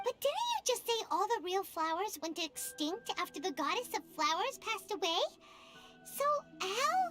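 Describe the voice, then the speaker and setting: Over clear music in the background, a female-sounding put-on character voice speaks at a moderate pace with extremely high pitch. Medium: video game. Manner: chatty, excitable.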